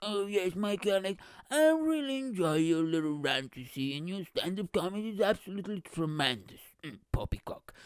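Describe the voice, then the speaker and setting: A man does a put-on character voice in a British accent, pitched high with very wide pitch swings and big swings in loudness. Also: moderate pace. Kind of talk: posh, formal. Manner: mock-polite, snooty.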